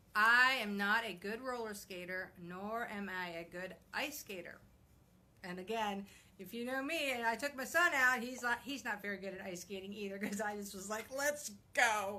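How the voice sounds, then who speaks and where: Against noticeable background noise, a woman with a fairly high voice talks at a moderate pace with ordinary pitch variation. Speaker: blogger and vlogger. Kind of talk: casual live video chat. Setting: live video broadcast at home. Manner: halting, many fillers.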